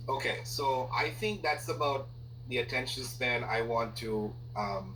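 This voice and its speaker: Over noticeable background noise and audible room echo, a man with a non-native accent speaks at a fairly slow pace and medium pitch, his loudness very even and his intonation monotone and flat. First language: not English. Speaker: corporate trainer. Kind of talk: casual chat. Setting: audio recording with colleague.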